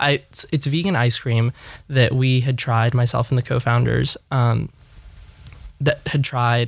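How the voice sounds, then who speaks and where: A man's somewhat breathy voice, fairly slow and fairly even in intonation, on a very clean recording with a silent background. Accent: Californian. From Los Angeles. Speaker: startup executive. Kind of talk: interview.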